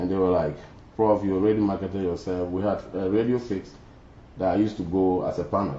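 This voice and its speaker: Very deep and low, a man's voice races at a very fast pace with audible room echo. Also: fairly even intonation. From Ghana. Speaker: former student leader. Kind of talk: interview.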